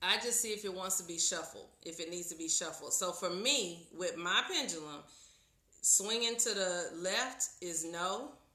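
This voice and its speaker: With audible room echo, a woman speaks at a moderate pace and medium pitch, showing ordinary pitch variation. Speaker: tarot reader. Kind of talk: live stream tutorial. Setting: live video stream. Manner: loud.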